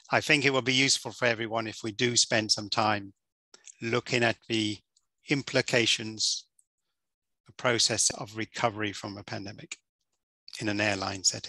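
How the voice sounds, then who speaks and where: A man with a bright, sharp tone speaks at a moderate pace and fairly even intonation, leaving long, frequent pauses, the sound dry with no echo over a quiet background. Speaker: course instructor. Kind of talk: lecture. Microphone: headset.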